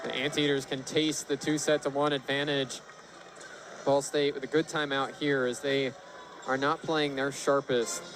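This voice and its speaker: A man speaks at a moderate pace with a fairly high pitch. His intonation is monotone and flat, with noticeable background noise behind him. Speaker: color commentator. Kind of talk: live sports color commentary.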